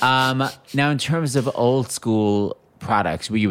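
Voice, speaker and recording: A man speaks at a fairly slow pace with lively intonation. Noticeable background noise can be heard. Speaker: podcast host. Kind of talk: casual interview.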